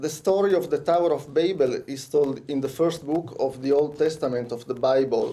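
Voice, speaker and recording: With an Italian accent, a man speaks at a moderate pace in a fairly high pitch, his tone dark and mellow, with audible room echo. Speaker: conference speaker. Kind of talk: lecture. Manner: halting.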